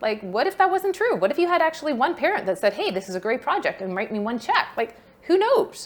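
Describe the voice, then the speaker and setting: A woman speaks at a very fast pace with lively intonation. Noticeable background noise runs underneath. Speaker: fundraising workshop presenter. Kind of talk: workshop talk. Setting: workshop room with online attendees.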